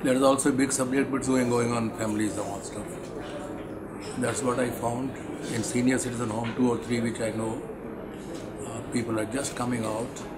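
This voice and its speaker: Loud background noise fills the space as a man speaks at a fairly quick pace. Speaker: interviewee. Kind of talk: interview answer. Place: meeting room.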